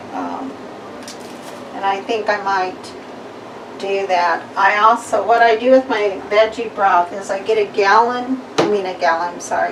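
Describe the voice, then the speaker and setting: A woman of medium pitch speaks at a fairly slow pace with fairly even intonation. Audible room echo and noticeable background noise fill the recording. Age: 60s. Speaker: home cooking vlogger. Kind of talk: cooking tutorial. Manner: halting, many fillers.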